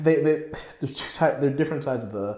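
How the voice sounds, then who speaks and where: Man with a somewhat breathy voice, lively intonation, and a fairly quick pace. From North Carolina, US. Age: 20s. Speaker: composer and music student. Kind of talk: casual chat.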